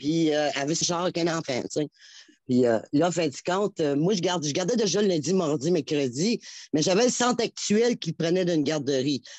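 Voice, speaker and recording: A woman's lively intonation over a quiet background, in a dry, close sound with no echo. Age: 60s. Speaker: caller to a health and home care show. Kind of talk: phone-in testimony. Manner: halting, many repetitions.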